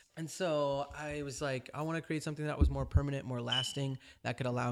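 In an American accent, a man talks at a very fast pace with fairly even intonation on a very clean recording with a silent background. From California. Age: 30s. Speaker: author and dancer. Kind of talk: interview.

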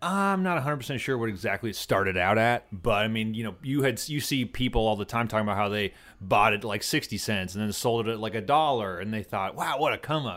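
A man's medium-pitched voice, a normal speaking voice, with ordinary pitch variation, a fairly quick pace and hardly any pauses. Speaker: guest, former powerlifter and crypto entrepreneur. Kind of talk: casual chat. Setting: studio.

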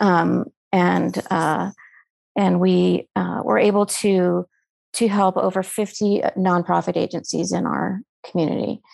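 At a fairly slow pace, a woman speaks with very even loudness in a dry, close sound with no echo over a quiet background. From Colorado. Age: 50s. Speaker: nonprofit co-founder. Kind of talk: casual chat. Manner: halting.

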